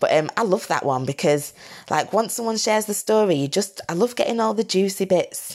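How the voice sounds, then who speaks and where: A woman with a Lancashire accent speaks at a medium pitch with lively intonation. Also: fairly quick pace. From northern England, Blackburn, Lancashire. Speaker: founder of a hiking community group. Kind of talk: casual interview chat. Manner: casual, filler-heavy speech.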